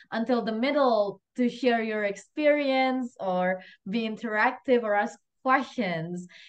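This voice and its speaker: A woman speaks at a fairly slow pace with a slight Indonesian accent. Her voice is high-pitched, with ordinary pitch variation. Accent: slight Indonesian accent, near-native English. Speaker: event host. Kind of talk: casual chat; closing remarks of online class. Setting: video call.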